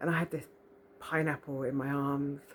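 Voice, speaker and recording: A woman speaks in a soft-spoken way. Her pitch is very deep and low. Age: 40s. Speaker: spiritual vlogger. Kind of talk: casual monologue. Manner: animated.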